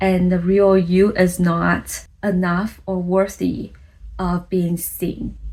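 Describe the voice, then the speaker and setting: In a very clean recording with a silent background, a woman with a non-native accent speaks at a medium pitch, her voice somewhat breathy. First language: not English. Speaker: content creator, vlogger. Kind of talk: vlog monologue. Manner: casual, conversational.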